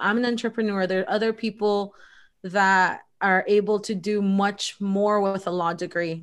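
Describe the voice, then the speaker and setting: With a Spanish accent, a woman speaks at a fairly slow pace and medium pitch with ordinary pitch variation against a quiet background. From El Salvador, raised in US Midwest. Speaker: lawyer and entrepreneur. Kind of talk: interview conversation.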